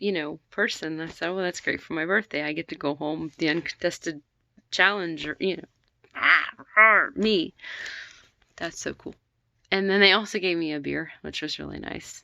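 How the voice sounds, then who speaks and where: A woman's very deep, low voice with vocal fry, moderate pace and ordinary pitch variation, dry and close with no echo. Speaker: vlogger. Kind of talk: casual chat. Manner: rambling, halting with fillers.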